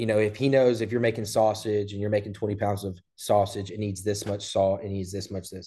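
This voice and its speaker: In an American accent, a dark, mellow voice moves at a fairly quick pace against a quiet background. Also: man. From Southeast Texas (Port Neches, near Beaumont). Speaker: barbecue restaurant owner. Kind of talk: casual interview.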